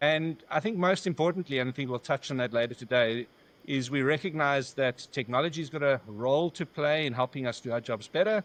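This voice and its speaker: A man with a South African accent, fairly high pitch, fairly quick pace and ordinary pitch variation. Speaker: business founder. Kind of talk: podcast interview. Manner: halting.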